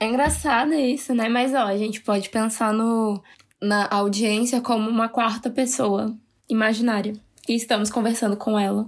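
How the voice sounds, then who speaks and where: A woman with an ordinary speaking voice, fairly high in pitch, at a moderate pace, with fairly even intonation and very even loudness. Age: 20s. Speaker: podcast co-host. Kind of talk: casual chat.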